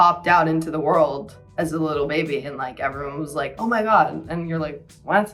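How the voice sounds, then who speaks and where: Over background music, a woman talks at a moderate pace with an American accent. Her pitch is fairly low. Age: 20s. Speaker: university student. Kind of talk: casual talk to camera, beauty tutorial. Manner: chatty, filler-heavy.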